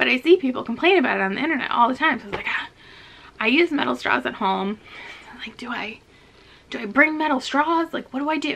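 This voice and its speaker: A woman with a high pitch and lively intonation talks at a very fast pace, broken by long, frequent pauses. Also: big swings in loudness. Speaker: vlogger. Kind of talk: casual chat. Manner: casual, filler-heavy.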